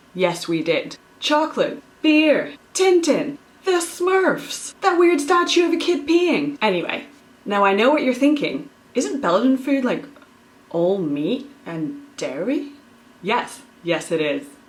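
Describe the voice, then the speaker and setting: Over noticeable background noise, a woman speaks very slowly in a high pitch, her pitch swinging very widely. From Belgium, international upbringing between US and UK. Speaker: cooking youtuber. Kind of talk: casual cooking vlog. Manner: animated.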